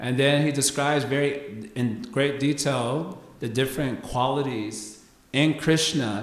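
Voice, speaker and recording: Against noticeable background noise and audible room echo, a man talks at a medium pitch with ordinary pitch variation. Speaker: spiritual teacher. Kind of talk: lecture.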